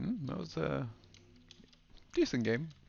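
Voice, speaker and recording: A man speaks softly. His voice carries vocal fry. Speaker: let's play gamer. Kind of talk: casual gameplay commentary. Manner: soft-spoken.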